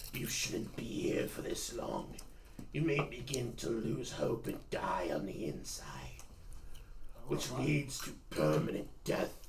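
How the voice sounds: Whispering in a raspy, put-on character voice, a man talks at a fairly slow pace over clear background noise.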